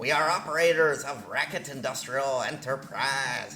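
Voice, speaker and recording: Over clear background noise, a man puts on a character voice at a fairly high pitch and a moderate pace. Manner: formal, alien-like announcement.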